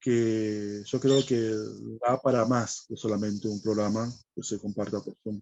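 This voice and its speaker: A man talks at a fairly slow pace in a medium pitch. His tone is dark and mellow, and his intonation stays flat and monotone. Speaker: guest presenting a spiritual study program. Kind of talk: conversational explanation in a spiritual dialogue. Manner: hesitant, many fillers.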